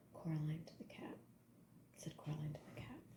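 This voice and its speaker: A woman with a very deep, low-pitched voice and a dark, mellow tone. She sounds somewhat breathy and talks at a moderate pace. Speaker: ASMR artist. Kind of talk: whispered audiobook-style reading for sleep.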